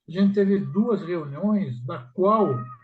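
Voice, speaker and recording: Here a man speaks at a very slow pace. His pitch is high and his intonation lively. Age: 80s+. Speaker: study group participant. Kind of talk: emotional personal reflection in group discussion. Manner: halting.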